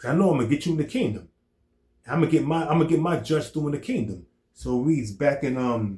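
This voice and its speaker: A man's fairly high, dark, mellow voice at a very fast pace, with vocal fry and lively intonation. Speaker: religious teacher. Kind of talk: scripture teaching discussion.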